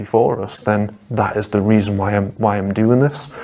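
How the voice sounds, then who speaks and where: With a Geordie accent, a man talks in a fairly low pitch and monotone, flat intonation over noticeable background noise. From northeast England, Newcastle (Geordie). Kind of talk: testimony. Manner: halting, many repetitions.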